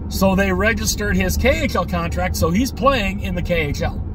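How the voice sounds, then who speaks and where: A man speaks at a fairly slow pace. The sound is dry with no echo, and there is noticeable background noise. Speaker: hockey fan vlogger. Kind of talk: casual vlog chat. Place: car. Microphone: phone near.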